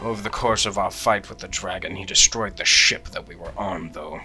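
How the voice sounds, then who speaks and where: A man's put-on character voice, raspy and fairly low in pitch, at a fairly quick pace with clear music in the background. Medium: actual play. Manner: measured, deadpan.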